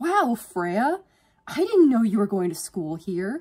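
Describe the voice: A woman speaks slowly in a put-on character voice, fairly high in pitch, with big pitch swings, a dark, mellow tone and a slightly husky edge.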